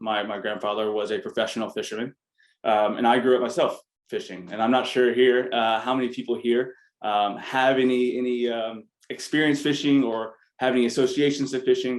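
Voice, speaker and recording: An ordinary speaking voice from a man with an American accent, medium in pitch, at a fairly quick pace with fairly even intonation. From US South, Arkansas. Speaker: business founder, MBA alumnus. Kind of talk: panel talk. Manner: casual, many filler words.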